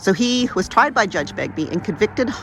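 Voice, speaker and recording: A woman at a fairly quick pace with lively intonation over noticeable background noise. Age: old. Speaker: travel vlogger. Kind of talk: casual vlog narration.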